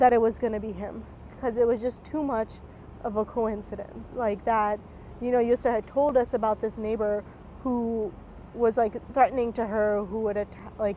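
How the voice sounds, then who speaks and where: A woman's fairly high pitch with a dark, mellow tone, monotone, flat intonation, and an American accent. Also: moderate pace. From North Carolina (Raleigh). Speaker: county commissioner. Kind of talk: interview testimony.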